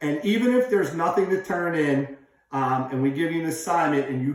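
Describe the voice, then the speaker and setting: A man talks loudly at a moderate pace, his pitch high for a man and his intonation lively, with audible room echo. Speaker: teacher. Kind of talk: lesson. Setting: office. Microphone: echo in room.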